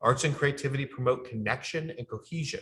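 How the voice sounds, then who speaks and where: A man at a fairly quick pace, bright and sharp in tone, with fairly even intonation. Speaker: communications strategy consultant presenting a training. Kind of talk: training presentation. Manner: fast.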